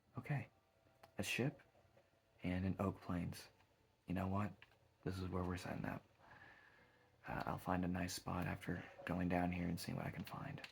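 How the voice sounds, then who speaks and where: Breathy in places, a man with a very deep, low pitch speaks at a moderate pace. He leaves long, frequent pauses. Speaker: gaming streamer. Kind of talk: ASMR gameplay commentary. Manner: low voice; soft-spoken.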